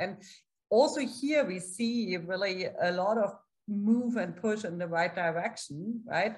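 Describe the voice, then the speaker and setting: Against a quiet background, the somewhat breathy voice moves at a fairly slow pace with ordinary pitch variation. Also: woman, medium pitch for a woman. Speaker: political science professor and journal editor; political science professor. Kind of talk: academic panel discussion. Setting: video call. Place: home room. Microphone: webcam.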